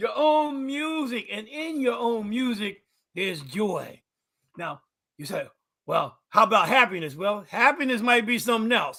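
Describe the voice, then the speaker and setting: This man's raised, projected voice sits at an extremely high pitch, with a bright, sharp tone, lively intonation, big swings in loudness and a fairly slow pace. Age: 70s. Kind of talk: casual chat.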